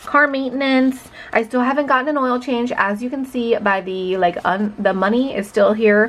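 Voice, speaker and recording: A woman with a high pitch and ordinary pitch variation talks at a moderate pace over noticeable background noise. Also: hardly any pauses. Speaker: budgeting YouTuber. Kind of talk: casual chat. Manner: conversational.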